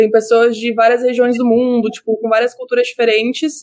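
Pitched high, a woman talks at a fairly quick pace. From Brazil, Rio Grande do Sul. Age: 20s. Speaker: psychology student and social media commentator. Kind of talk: interview.

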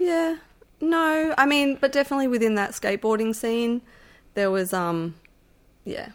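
On a very clean recording with a silent background, a woman with an Australian accent speaks at a high pitch and moderate pace, her pitch swinging very widely, with long, frequent pauses. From Melbourne, Australia. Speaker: musician and animal rights volunteer. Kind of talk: casual interview. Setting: at the host's house.

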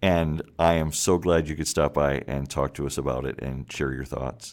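A man with an American accent and a very deep, low pitch speaks at a moderate pace with vocal fry and ordinary pitch variation, on a very clean recording with a silent background. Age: 50s. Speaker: podcast host. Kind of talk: interview; scripted narration.

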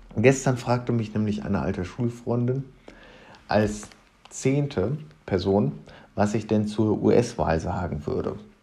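A man with a fairly low pitch and a dark, mellow tone shows vocal fry and ordinary pitch variation. He moves at a fairly slow pace with long, frequent pauses. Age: 20s. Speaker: podcast host, history student. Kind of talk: podcast introduction monologue.

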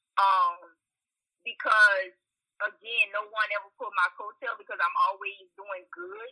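A woman with an American accent at a moderate pace. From US South, central Louisiana (Washington, near Opelousas). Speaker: therapist. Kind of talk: interview podcast.

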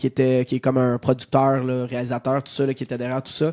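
Dry and close with no echo, a man's medium-pitched voice has a dark, mellow tone and a flat, monotone delivery. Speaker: radio co-host. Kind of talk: casual chat.

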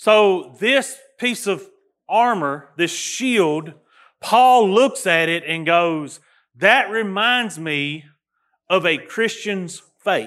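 Speaking very slowly in a Southern US accent, a man uses a high pitch, lively intonation and a bright, sharp tone. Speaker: pastor. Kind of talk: sermon. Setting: church. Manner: loud; halting.

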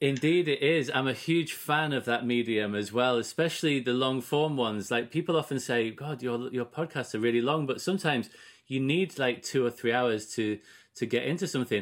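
The recording is very clean, with a silent background. A plain, everyday voice goes at a fairly quick pace, its pitch varying in an ordinary way. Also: man, medium pitch for a man. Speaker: podcast host. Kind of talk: interview conversation.

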